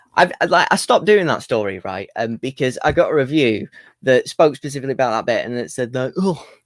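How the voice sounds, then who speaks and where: With an English accent, a man speaks at a fairly quick pace, his pitch swinging very widely, in a dry, close sound with no echo. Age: 20s. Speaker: comedian. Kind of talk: stand-up.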